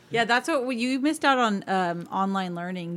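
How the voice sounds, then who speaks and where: Over a very clean recording with a silent background, a woman talks at a fairly quick pace. She has a plain, everyday voice with lively intonation. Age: 30s. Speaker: teacher. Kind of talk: casual chat.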